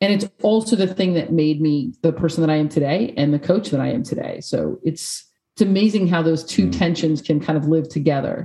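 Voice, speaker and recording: Speaking fast with hardly any pauses, a woman with an American accent has a dark, mellow tone and a fairly low pitch. Her voice is somewhat breathy, with ordinary pitch variation. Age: 40s. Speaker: peace and sport coaching consultant. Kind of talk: interview. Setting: video call.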